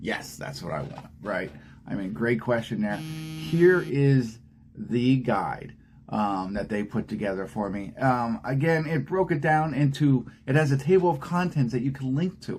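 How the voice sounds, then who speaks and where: A man talks fairly slowly at a medium pitch. His pitch swings very widely. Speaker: aspiring AI consultant vlogger. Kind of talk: casual screen-share tutorial. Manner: casual with many fillers.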